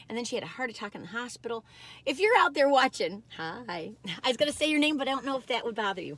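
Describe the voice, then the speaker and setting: A woman with a Michigan accent, high in pitch, animated in tone and making very wide pitch swings, in a very clean recording with a silent background. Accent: nasal Michigan vowels. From US Midwest, Michigan. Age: 60s. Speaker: food reviewer, YouTuber. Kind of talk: casual taste-test vlog. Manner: animated, chatty.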